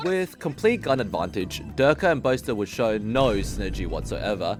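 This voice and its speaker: A man is speaking. Music plays in the background. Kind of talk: esports history narration. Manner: casual, humorous.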